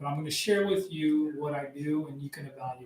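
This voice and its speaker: With an American accent, a man talks at a moderate pace in a plain, everyday voice, fairly high in pitch, with fairly even intonation. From US-Mexico border, Arizona. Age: 50s. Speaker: firearms and tactics instructor. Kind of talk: podcast interview.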